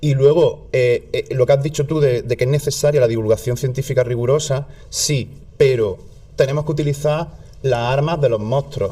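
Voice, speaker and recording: A man speaks with a southern Spanish accent at a moderate pace. His pitch is fairly high and his intonation fairly even. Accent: southern Spanish, stronger when relaxed. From southern Spain. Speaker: content creator. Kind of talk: casual chat.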